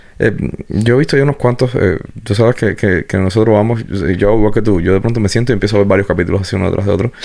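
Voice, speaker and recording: Talking at a very fast pace over noticeable background noise, a man keeps his fairly low voice at a very even loudness with ordinary pitch variation. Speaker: podcast host. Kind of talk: casual interview.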